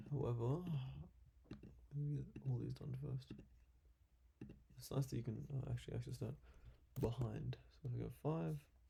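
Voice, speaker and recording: Quiet mumbling at a moderate pace, broken by long, frequent pauses. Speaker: YouTuber doing CAD design tutorial. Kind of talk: live screen-recorded design session with commentary.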